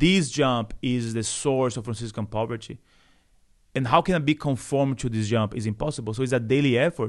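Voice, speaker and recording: A man's medium-pitched voice at a fairly quick pace, with ordinary pitch variation against a quiet background. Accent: Brazilian Portuguese. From Brazil, Salvador (Bahia). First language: Portuguese. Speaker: Franciscan friar. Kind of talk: podcast interview. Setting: studio.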